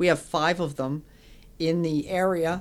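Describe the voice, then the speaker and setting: In a plain, everyday voice, a woman with an American accent speaks at a fairly low pitch and a fairly slow pace, her intonation fairly even. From Connecticut, West Hartford. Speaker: postal service marketing manager. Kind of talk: casual interview.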